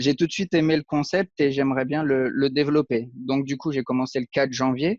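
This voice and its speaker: A man speaks at a fairly quick pace. His fairly high voice keeps a fairly even intonation. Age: 30s. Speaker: aspiring web marketer, unemployed IT technician. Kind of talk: interview. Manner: hesitant, many fillers.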